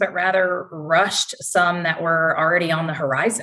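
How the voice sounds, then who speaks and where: The pace of this woman's speech is moderate. She has a Southern US accent. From North Carolina, US South. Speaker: interior design sales executive. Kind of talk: professional interview.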